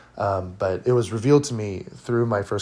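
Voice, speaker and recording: In a Californian accent, a man talks at a fairly quick pace with ordinary pitch variation. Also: very clean recording, silent background. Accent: Californian American. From US West Coast, Orange County, California. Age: 20s. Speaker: artist. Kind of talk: personal testimony. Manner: halting, many fillers and repeats.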